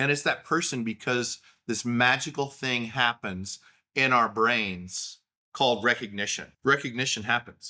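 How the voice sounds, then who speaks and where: A man with an Oklahoma accent speaks at medium pitch. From Oklahoma, US. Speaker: podcaster. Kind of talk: casual monologue. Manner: conversational with fillers.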